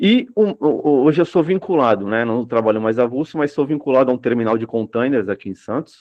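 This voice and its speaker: Pitched in the middle range, a man speaks at moderate speed, his pitch moving in an ordinary way. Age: 30s. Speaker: dock worker sharing personal experience. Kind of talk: testimony at a public discussion circle. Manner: hesitant, many fillers.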